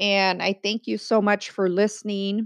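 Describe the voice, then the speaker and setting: Recorded dry and close with no echo, a woman with a Californian accent talks at a medium pitch. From San Diego, California. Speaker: podcast host. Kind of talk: casual chat.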